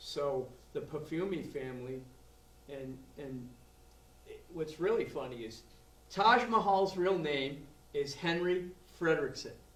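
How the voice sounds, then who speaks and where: This man, with a Boston accent, has a fairly high voice, lively intonation and a fairly slow pace marked by long, frequent pauses. Audible room echo surrounds his speech. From Boston area, Massachusetts. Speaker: blues drummer. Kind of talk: interview. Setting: music venue after show.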